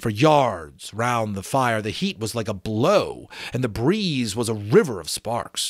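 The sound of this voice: What we hear is an unforced reading voice. The intonation rises and falls in a lively way.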